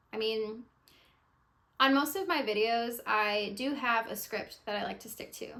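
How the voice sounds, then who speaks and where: A woman with a bright, sharp tone and fairly high pitch talks at a moderate pace with ordinary pitch variation, long, frequent pauses and big swings in loudness. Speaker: YouTuber and beginner eBay reseller. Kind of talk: casual unscripted vlog talk. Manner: pauses and stutters, many filler words; relaxed, candid.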